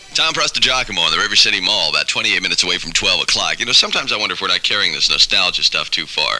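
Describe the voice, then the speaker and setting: A man at a very fast pace in an upbeat tone, with music in the background. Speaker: radio DJ. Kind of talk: 1970s top-40 radio DJ patter: weather, song plugs, promos. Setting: radio broadcast. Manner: fast, upbeat, jokey, ad-libbing.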